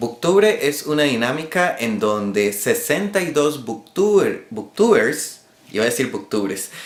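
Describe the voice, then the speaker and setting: Pitch swings very widely as the speech unfolds at a fairly slow pace. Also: man, fairly high pitch for a man. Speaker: booktuber. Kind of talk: casual talk to camera.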